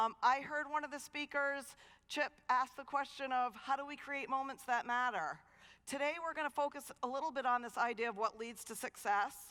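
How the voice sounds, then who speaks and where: In a raised, projected voice, a woman speaks at a high pitch with a bright, sharp tone and ordinary pitch variation. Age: 50s. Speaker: dean of students and keynote speaker. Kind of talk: keynote talk. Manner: fast; animated.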